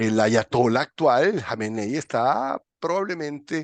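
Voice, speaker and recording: A man speaks at a fairly slow pace with very wide pitch swings. The sound is dry and close with no echo, over a quiet background. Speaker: political commentator. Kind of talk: political discussion.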